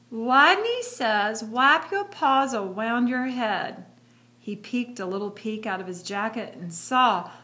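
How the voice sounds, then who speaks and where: Putting on a squeaky character voice, a woman speaks at a fairly high pitch and a fairly slow pace. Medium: read story.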